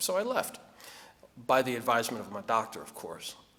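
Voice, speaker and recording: This man speaks with a New Jersey accent at a medium pitch. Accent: New Jersey American. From New Jersey (Trenton area). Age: 50s. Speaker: award honoree, community leader. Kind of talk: acceptance speech.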